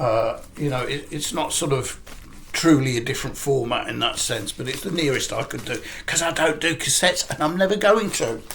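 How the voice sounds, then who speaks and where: Lively intonation from a man at a fairly quick pace, with noticeable background noise. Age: 60s. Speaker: record collector YouTuber. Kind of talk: casual vlog talk. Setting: living room at home. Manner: halting, many fillers.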